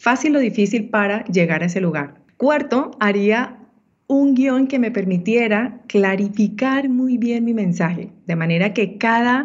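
Somewhat breathy, a woman speaks fairly slowly at a fairly high pitch with ordinary pitch variation. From Colombia, Ibagué (Andean region). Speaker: women's entrepreneurship mentor. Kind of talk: interview.

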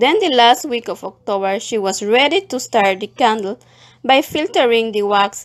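Her pitch fairly high, a woman speaks at a fairly slow pace in a plain, everyday voice. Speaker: community librarian. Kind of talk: documentary narration.

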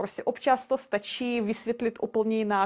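Speaking with a non-native accent, a woman talks at a moderate pace with a medium pitch and fairly even intonation on a very clean recording with a silent background. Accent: foreign accent in Czech. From Belarus. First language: Russian (speaking Czech). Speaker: castle sales agent. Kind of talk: podcast interview. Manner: halting, with fillers and repetitions.

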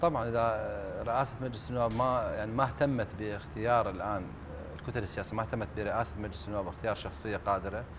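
A man with an Iraqi accent speaks at a fairly quick pace, his pitch medium and its variation ordinary. Background noise is noticeable. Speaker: former member of parliament; TV guest, political commentator. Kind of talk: TV talk show discussion. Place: studio. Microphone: lapel.

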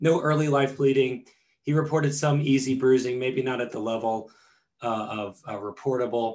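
A man's intonation stays fairly even as he speaks at a moderate speed. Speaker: presenter. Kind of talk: lecture. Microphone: webcam.

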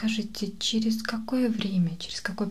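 A soft-spoken woman's somewhat breathy, gentle-toned voice with fairly even intonation over light background noise. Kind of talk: ASMR role-play dialogue. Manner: soft-spoken, gentle ASMR voice.

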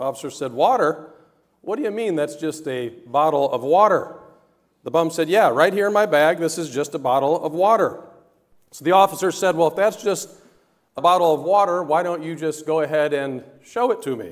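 A man speaks at a fairly quick pace with ordinary pitch variation. The background is quiet. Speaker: pastor. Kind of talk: sermon. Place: church.

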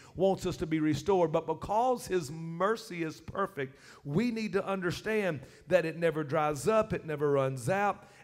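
A man talks at a moderate pace with a high pitch and ordinary pitch variation. Faint music plays in the background. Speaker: preacher. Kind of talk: sermon. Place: church.

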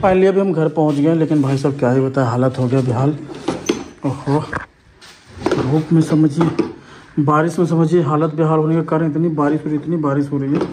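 Noticeable background noise runs behind a man speaking at a moderate pace in a fairly high pitch. His loudness stays very even and his intonation fairly even. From Bihar, India. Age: 20s. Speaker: vlogger. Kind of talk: casual vlog narration.

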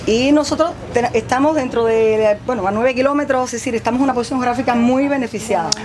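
A woman's high-pitched, very fast speech with ordinary pitch variation over noticeable background noise. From Cuba. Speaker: agronomist; farm guide. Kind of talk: guided tour. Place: farm machine. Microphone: camera far.

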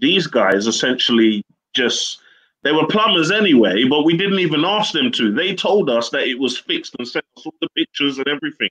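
A man with a southern English accent, fairly quick delivery, very wide pitch swings and vocal fry, against a quiet background. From southern England, Slough. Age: 30s. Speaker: serviced accommodation entrepreneur. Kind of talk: interview. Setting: video call. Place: home room. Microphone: video call.

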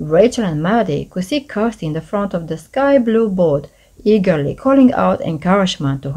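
The voice reads the words aloud. It is a natural reading voice.

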